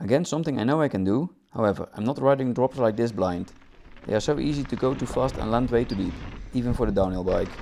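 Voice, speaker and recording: A man with a non-native accent, medium in pitch with ordinary pitch variation, at a very fast pace over noticeable background noise. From Netherlands. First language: Dutch. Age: 30s. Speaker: mountain bike vlogger. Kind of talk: video voice-over narration.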